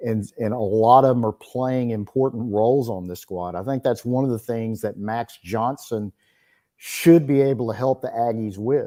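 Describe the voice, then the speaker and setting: A man with an East Texas accent speaks at a moderate pace and medium pitch, with ordinary pitch variation and a dark, mellow tone, on a very clean recording with a silent background. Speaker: sports reporter. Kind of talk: interview.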